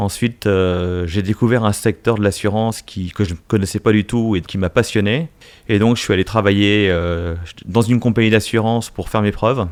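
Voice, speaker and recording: A man's fairly low voice carries fairly even intonation. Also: very clean recording, silent background. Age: 50s. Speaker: business executive. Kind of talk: interview. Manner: hesitant, many fillers.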